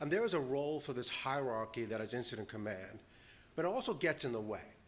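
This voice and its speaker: Audible room echo surrounds a man at medium pitch with an American accent, talking very fast with lively intonation. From New York. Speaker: panel presenter on disaster resilience. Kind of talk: conference presentation.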